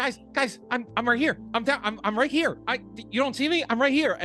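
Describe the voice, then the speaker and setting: Put-on character voice, female-sounding, squeaky and high-pitched, at a moderate pace over clear music in the background. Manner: pleading, insistent.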